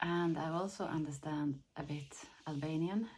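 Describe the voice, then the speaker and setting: A woman speaks with a Finland Swedish accent. Her intonation stays fairly even. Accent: Swedish-Finnish accent in English. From Sweden. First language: Finnish. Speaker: lifestyle vlogger. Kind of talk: casual vlog talk. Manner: halting, repeats words.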